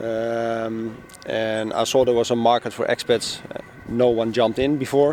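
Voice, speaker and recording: Monotone, flat delivery from a man with a Dutch accent and medium pitch, at a moderate pace with noticeable background noise. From Netherlands, Amsterdam. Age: 40s. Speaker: newspaper publisher. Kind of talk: casual interview. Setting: outdoors on a public bench. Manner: hesitant, many fillers.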